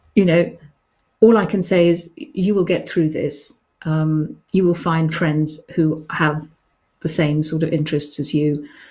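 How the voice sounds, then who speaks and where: A woman with a fairly low pitch speaks at a moderate pace, somewhat breathy and with fairly even intonation. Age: 60s. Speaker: children's author hosting a live show. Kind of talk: live stream chat, reading and answering reader questions. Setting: live online broadcast. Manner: hesitant, many ums.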